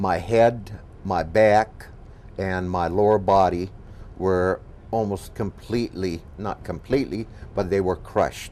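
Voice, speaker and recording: Speaking at a fairly slow pace, a man with a very deep, low pitch keeps his intonation fairly even. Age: 60s. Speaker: patient and golf professional. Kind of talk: testimony. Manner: halting.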